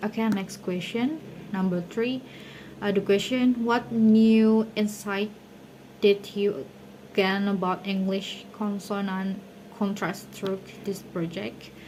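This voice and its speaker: Speech comes at a very slow pace in an Indonesian accent, with long, frequent pauses. The intonation is fairly even. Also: woman, medium pitch for a woman. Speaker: university student. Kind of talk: class presentation. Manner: hesitant.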